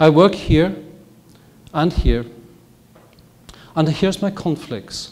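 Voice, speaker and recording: A man with a Welsh accent at a fairly slow pace, with audible room echo. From north Wales. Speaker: physician and professor. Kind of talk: lecture. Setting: stage with audience.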